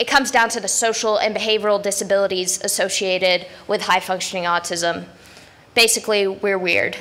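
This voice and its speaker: Music plays in the background as a woman talks at a fairly quick pace, her medium-pitched voice carrying fairly even intonation. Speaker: conference speaker. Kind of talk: conference talk. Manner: loud; blunt.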